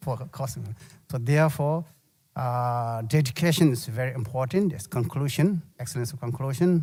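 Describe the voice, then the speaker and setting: A man with a Tibetan accent speaks at a moderate pace and medium pitch with ordinary variation. His tone is dark, mellow and somewhat breathy, on a very clean recording with a silent background. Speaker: Buddhist monk teacher. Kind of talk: dharma teaching. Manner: halting.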